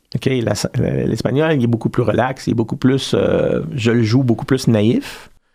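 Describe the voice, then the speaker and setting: A man speaks with medium pitch and fairly even intonation. His loudness stays very even. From Belgian Congo, Belgian parents. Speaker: storyteller and actor. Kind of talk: casual interview chat. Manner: hesitant, many fillers.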